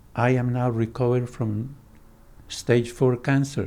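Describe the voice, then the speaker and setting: In a Spanish accent, a man speaks at a medium pitch with a dark, mellow tone. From Colombia. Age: 90s. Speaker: psychoanalyst. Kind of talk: interview conversation.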